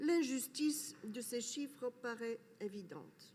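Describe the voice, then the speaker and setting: A woman with a high pitch talks at a very slow pace using lively intonation. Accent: non-native. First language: not French (speaking French). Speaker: academic speaker. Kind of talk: conference talk. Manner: hesitant, with fillers.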